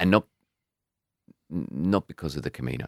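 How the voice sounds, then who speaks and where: A man with an Australian accent and vocal fry, at a moderate pace. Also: dry, close sound with no echo. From Australia, rural western New South Wales. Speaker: albergue host and podcaster. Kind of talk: casual interview chat. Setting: in person, Sydney.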